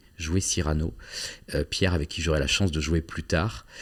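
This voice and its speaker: Heard in a very clean recording with a silent background, a man with vocal fry speaks at a very deep, low pitch with ordinary pitch variation. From southwest France (Agen). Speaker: actor and playwright. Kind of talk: interview. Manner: hesitant, many fillers and repetitions.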